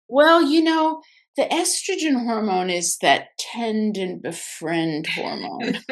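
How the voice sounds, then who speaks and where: A woman speaks at a very slow pace, her fairly high pitch moving in very wide swings. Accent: American. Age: 60s. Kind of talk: casual chat. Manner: halting.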